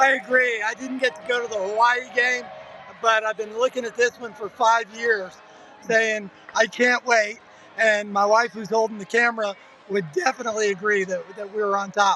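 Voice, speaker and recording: A raised, projected man's voice, high-pitched with fairly even intonation, over noticeable background noise. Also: moderate pace. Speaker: fan channel host. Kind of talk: sideline interview. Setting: outdoors at stadium sidelines.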